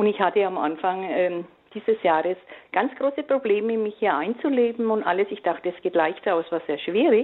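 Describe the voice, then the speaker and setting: This woman has an unremarkable speaking voice at a medium pitch. She speaks at a moderate pace with lively intonation. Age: 60s. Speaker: caller. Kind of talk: phone-in testimony.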